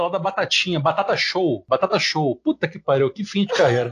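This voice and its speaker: Words pour out of a man at a very fast pace, his intonation lively. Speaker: podcast host. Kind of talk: political discussion podcast.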